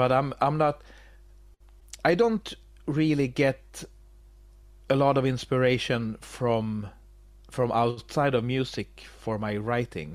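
With a Swedish accent, a man speaks at a very slow pace with long, frequent pauses, medium pitch and ordinary pitch variation, over music in the background. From Sweden. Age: 40s. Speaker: metal musician. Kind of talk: interview. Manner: halting, many repetitions.

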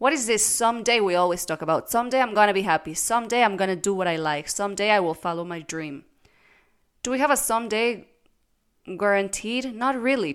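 An unremarkable speaking voice, a woman's medium-pitched, lively-intoned speech comes at a fairly quick pace on a very clean recording with a silent background. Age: 20s. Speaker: podcast host, former lawyer. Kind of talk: casual monologue. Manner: unedited, with fillers.

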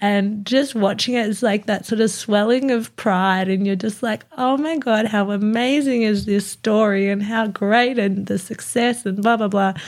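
A woman with an Australian accent talks at a moderate pace and fairly high pitch, with fairly even intonation and hardly any pauses. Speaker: podcast co-host. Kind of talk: casual chat. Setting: studio.

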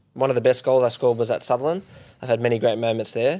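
Australian-accented male speech, the recording very clean and the background silent. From Perth, Western Australia. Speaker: professional footballer. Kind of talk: casual chat.

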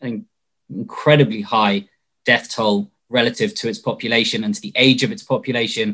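With a British accent, a man speaks at a moderate pace in a medium pitch, his intonation lively. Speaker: political party spokesperson. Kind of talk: panel debate. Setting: video call livestream.

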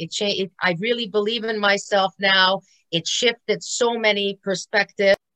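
The tone is bright and sharp at a moderate pace. The sound is dry and close with no echo. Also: woman. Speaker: personal fitness trainer. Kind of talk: casual interview testimony. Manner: animated, many fillers.

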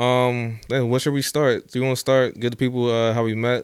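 A man speaks at a moderate pace and a medium pitch with an American accent. He has a plain, everyday voice. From New Jersey. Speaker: podcast co-host. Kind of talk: casual chat. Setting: studio.

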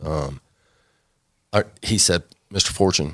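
A man's very deep, low voice in a very clean recording with a silent background. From Texas, Dallas area. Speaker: restaurant owner. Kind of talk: casual chat; testimony.

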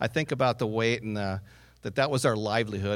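A man is speaking. His pace is very fast. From North Dakota. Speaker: entrepreneur. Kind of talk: pitch presentation. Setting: stage with audience.

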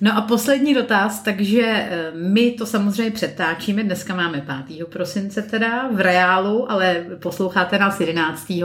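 A woman's medium-pitched voice with ordinary pitch variation at a fairly slow pace with hardly any pauses, plus noticeable background noise and audible room echo. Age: 30s. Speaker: podcast host. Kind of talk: casual interview.

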